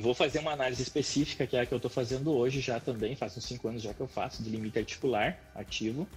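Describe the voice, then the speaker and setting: With music playing behind, the speech runs at a very fast pace with hardly any pauses and ordinary pitch variation. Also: man, medium pitch for a man. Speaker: physiotherapist. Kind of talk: live-stream interview, technical explanation. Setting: Instagram live stream.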